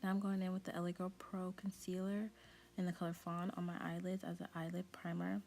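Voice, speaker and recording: A woman speaks quietly at a fairly quick pace, her intonation flat and monotone. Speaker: beauty youtuber. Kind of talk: makeup tutorial voiceover. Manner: quiet, talking low; casual, chatty with fillers.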